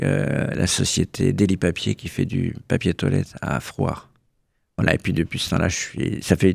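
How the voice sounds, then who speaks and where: A man's very deep, low voice with vocal fry and lively intonation, fairly slow, in a dry, close sound with no echo. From Burgundy, France (Bresse). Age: 70s. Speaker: association president, retiree. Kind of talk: radio interview. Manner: hesitant, repeats words.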